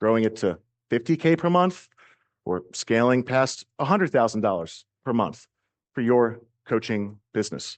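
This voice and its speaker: An energetic man with an American accent, medium pitch and lively intonation, long, frequent pauses, and a quiet background. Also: moderate pace. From US East Coast. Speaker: marketing coach. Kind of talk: business training talk.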